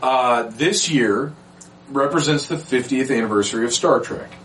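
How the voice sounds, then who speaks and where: Ordinary pitch variation and a moderate pace mark a man's speech against noticeable background noise. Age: 40s. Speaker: podcast host. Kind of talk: casual chat.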